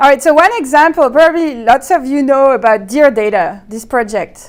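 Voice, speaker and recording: Lively intonation carries this woman's high-pitched voice. She speaks at a moderate pace with a French accent. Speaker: researcher presenting. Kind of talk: conference talk.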